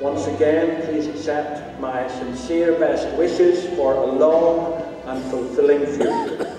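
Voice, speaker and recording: Clear music plays behind a man who speaks very slowly with ordinary pitch variation amid strong room echo. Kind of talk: formal closing address. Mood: warm, formal. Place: hall. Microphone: podium.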